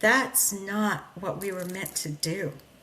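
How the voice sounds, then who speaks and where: Very slow speech from a woman amid noticeable background noise. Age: 60s. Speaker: podcast host. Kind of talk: motivational talk. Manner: loud; animated.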